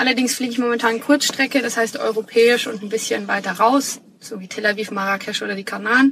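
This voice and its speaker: Fairly high in pitch, a woman speaks in a plain, everyday voice with fairly even intonation. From Bavaria, Munich. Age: 30s. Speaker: flight attendant and aspiring digital nomad. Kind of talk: casual interview chat.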